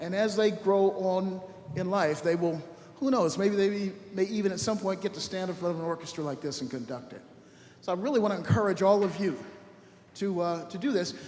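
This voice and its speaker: A man with an American accent talks at a fairly quick pace in a high register, with ordinary pitch variation. Noticeable background noise and audible room echo fill the recording. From Los Angeles, US West Coast. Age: 70s. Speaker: orchestra conductor. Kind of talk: speech to a concert audience. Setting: church, stage with audience. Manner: conversational, lively.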